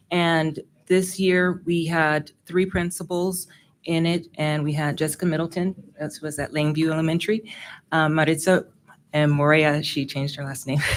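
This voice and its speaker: A woman speaks with a very deep, low pitch at a moderate pace. Her intonation stays fairly even. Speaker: school principal. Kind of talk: presentation at a public board meeting. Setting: school board meeting room. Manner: projected teacher voice. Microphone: no microphone.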